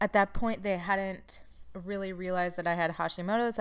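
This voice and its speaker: A woman speaks at a medium pitch with fairly even intonation, in a plain, everyday voice. The recording is very clean, with a silent background. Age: 30s. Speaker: podcast host and chronic illness support coach. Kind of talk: solo podcast monologue. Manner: casual, laughs at times.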